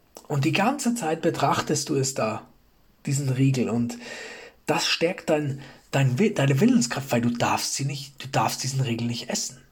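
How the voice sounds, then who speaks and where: Somewhat breathy, a man speaks fairly slowly with lively intonation and a fairly high pitch. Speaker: self-improvement podcast host. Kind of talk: motivational monologue. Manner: frequent pauses; repeats words, halting.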